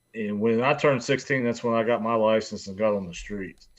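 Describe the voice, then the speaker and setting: Against a quiet background, a man in an Appalachian accent speaks at medium pitch with fairly even intonation. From West Virginia. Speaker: biker. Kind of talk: casual chat.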